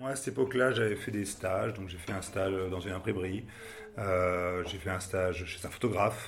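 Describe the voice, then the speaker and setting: A man speaks at a moderate pace with ordinary pitch variation. His voice is somewhat breathy, and the room echo is audible. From Paris, France. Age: 50s. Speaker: advertising agency director. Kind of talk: interview. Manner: hesitant, many fillers and repetitions.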